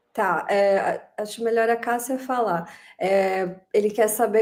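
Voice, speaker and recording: A woman speaks in an ordinary speaking voice, fairly high in pitch, with fairly even intonation. The recording is very clean, with a silent background. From Brazil. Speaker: co-author and screenwriter. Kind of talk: live interview, relaying questions.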